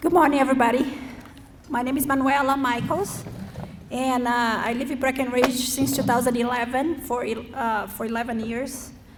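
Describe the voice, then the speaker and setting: A woman with a Brazilian accent speaks high in pitch with fairly even intonation. Noticeable background noise and audible room echo come through. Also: moderate pace. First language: Portuguese. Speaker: school board candidate, parent. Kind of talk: candidate forum speech. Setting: school forum with student audience.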